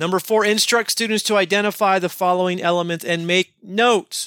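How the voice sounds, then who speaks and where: A man talks at a fairly quick pace in a bright, sharp tone. The recording is very clean and dry, close with no echo and a silent background. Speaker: podcast host, English teacher. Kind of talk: tutorial. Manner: casual, jokey.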